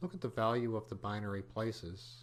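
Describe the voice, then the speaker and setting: This man has a plain, everyday voice, fairly low in pitch. He speaks at a moderate pace with ordinary pitch variation. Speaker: computer programming teacher. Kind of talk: tutorial.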